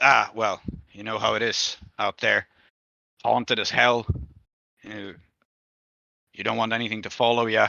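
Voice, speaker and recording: A man's gruff, raspy put-on character voice at a medium pitch, monotone and flat, at a moderate pace with long, frequent pauses. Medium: actual play. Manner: grim, gruff.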